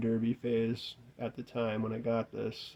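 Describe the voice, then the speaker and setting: His voice has a dark, mellow tone at a medium pitch for a man. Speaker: gaming youtuber. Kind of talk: casual video review monologue. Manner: monotone; casual, hesitant.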